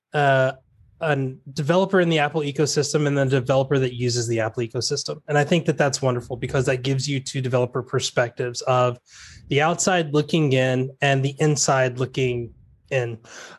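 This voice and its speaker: A man speaks at a fairly quick pace in a somewhat breathy voice of medium pitch, with fairly even intonation. The background is quiet. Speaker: panelist. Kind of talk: casual panel discussion.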